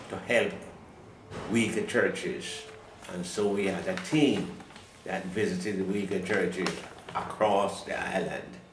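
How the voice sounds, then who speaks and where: Amid noticeable background noise and audible room echo, a man speaks at a fairly low pitch and fairly slow pace with long, frequent pauses. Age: 80s+. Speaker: retired pastor. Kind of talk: interview.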